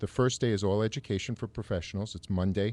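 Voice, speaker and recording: A man talks at a fairly quick pace in a New York accent. His voice has a fairly low pitch and a dark, mellow tone. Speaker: salon owner. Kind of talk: radio talk show interview. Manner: enthusiastic.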